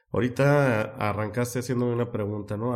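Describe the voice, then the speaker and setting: A man talks at a medium pitch and a fairly slow pace, his intonation fairly even. The recording is very clean and the background silent. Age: 30s. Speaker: life purpose coach and educator. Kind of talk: interview.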